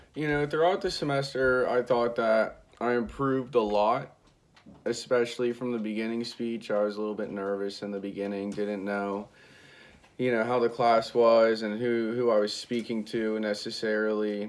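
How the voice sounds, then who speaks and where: Mumbling, a man talks at a moderate pace. His pitch is medium, with fairly even intonation. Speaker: college student. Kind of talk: self-critique monologue. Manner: monotone.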